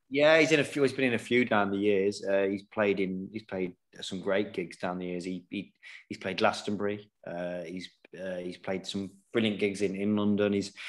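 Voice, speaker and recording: At a fairly low pitch, a man with an East Midlands accent talks at a moderate pace with ordinary pitch variation. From England, Nottingham. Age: 40s. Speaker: professional snooker player. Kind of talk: casual chat.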